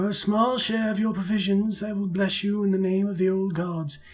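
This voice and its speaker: A man's put-on character voice, high-pitched, at a moderate pace, with monotone, flat intonation. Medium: game stream. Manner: friendly, solemn.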